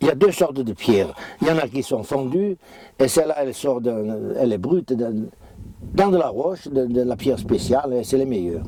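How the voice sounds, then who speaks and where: A man speaks at a moderate pace and a medium pitch with lively intonation, over noticeable background noise. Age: 70s. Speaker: farmer. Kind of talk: interview. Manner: halting.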